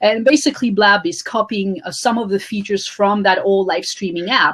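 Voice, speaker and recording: At a fairly quick pace, a woman talks with ordinary pitch variation and a medium pitch. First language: French. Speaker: author and social media coach. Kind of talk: interview.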